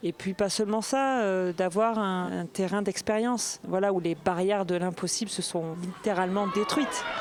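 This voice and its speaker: Over noticeable background noise, a woman at medium pitch talks at a moderate pace with ordinary pitch variation and hardly any pauses. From southern France, Marseille. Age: 40s. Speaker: former karate world champion. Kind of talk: interview testimony. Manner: hesitant, many fillers.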